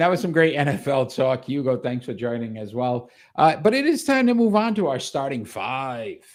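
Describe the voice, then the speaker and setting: With a Rhode Island accent, a man pitched fairly high moves at a moderate pace with hardly any pauses and very wide pitch swings, on a very clean recording with a silent background. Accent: Rhode Island accent, noticeable. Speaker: sports podcast host. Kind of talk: casual chat. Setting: live show.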